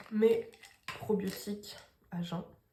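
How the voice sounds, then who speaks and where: Over noticeable background noise, a woman talks in a monotone, flat way. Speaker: lifestyle vlogger. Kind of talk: casual vlog talk.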